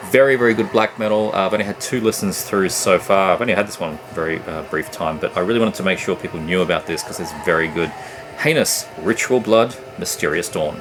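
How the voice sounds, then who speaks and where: Music plays in the background as a man speaks with an Australian accent. His pitch is fairly low and his pace very fast. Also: ordinary pitch variation. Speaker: music collector YouTuber. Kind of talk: casual review vlog. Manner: hesitant, many fillers.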